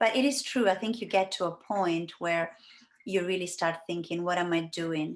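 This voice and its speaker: A woman with an Italian accent, fairly low pitch, ordinary pitch variation and a moderate pace, against a quiet background. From Italy. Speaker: life coach and healer. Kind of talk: interview. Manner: hesitant, many fillers.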